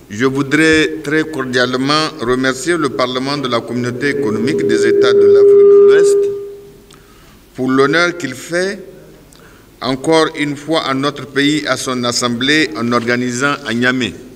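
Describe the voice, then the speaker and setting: With light background noise behind him, a man speaks at a fairly slow pace with ordinary pitch variation. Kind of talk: formal welcome speech. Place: hall. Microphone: podium.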